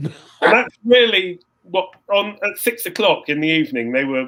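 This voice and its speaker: A man with an English accent, a bright, sharp tone and very wide pitch swings. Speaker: composer and saxophonist. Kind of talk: interview, casual storytelling. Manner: halting, repetitive restarts.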